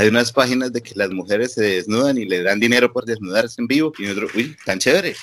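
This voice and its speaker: Very fast, with hardly any pauses, a man talks at a medium pitch with ordinary pitch variation. His loudness swings widely. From Colombia, Bucaramanga. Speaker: webcam studio owner. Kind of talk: casual interview.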